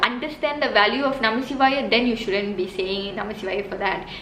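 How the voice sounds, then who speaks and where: A woman with a Tamil accent, noticeable background noise and audible room echo. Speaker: religious teacher, video host. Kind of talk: explanatory talk to camera. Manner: halting, many fillers.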